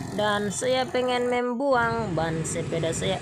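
Over noticeable background noise and audible room echo, a woman at medium pitch speaks at a fairly slow pace in a playful tone, her pitch swinging very widely. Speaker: vlogger. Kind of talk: vlog narration. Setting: roadside bicycle repair shop. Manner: casual, playful.

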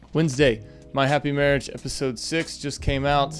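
A man's voice over faint background music. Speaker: anime review vlogger. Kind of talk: casual review commentary. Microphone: studio mic.

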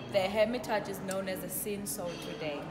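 Speech at a moderate pace with clear music in the background. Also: woman. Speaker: wine tasting host. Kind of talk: guided tasting explanation. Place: bar. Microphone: phone near.

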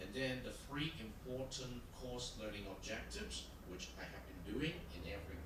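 A man speaks at a moderate pace. Room echo is audible, and there is noticeable background noise. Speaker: university lecturer. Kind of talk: lecture. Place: hall.

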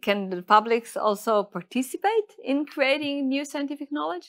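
A woman speaks with an Israeli accent and lively intonation. The background is quiet. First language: Hebrew. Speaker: lecturer and course host. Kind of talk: scripted course presentation; interview. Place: studio.

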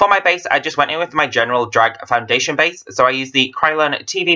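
A man speaks fairly quickly. His accent is British. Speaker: drag makeup youtuber. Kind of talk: makeup tutorial voice-over. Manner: casual.

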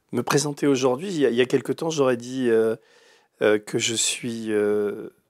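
A man speaks at a fairly slow pace with ordinary pitch variation. The sound is dry with no echo, over a quiet background. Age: 60s. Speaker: writer and investigative journalist; investigative journalist. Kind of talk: interview. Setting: studio, live stream. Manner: hesitant, many fillers. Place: studio.

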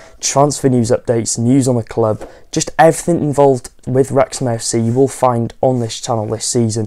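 The man's intonation stays fairly even as he goes at a moderate pace. Behind him, all is quiet. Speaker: football fan vlogger. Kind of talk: casual vlog chat. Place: home room. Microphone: lapel.

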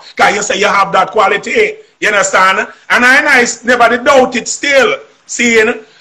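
A man in a raised, projected voice, extremely high in pitch with ordinary pitch variation, at a moderate pace. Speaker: singer. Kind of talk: interview answer, storytelling. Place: home room. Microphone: video call.

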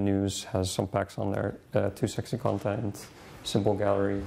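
A man's fairly low voice in a Dutch accent, dark and mellow in tone. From Netherlands. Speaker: DNN consultant, conference presenter. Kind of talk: conference presentation with demo. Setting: conference room with audience. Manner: halting, many fillers. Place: classroom.

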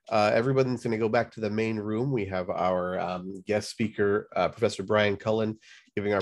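A man with a normal speaking voice and a fairly low pitch speaks at a fairly quick pace. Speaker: online session moderator. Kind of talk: conference session moderation. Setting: video call. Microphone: video call.

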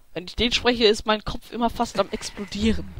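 A man speaks at a fairly quick clip with a high pitch, a fairly bright tone, and fairly even intonation.

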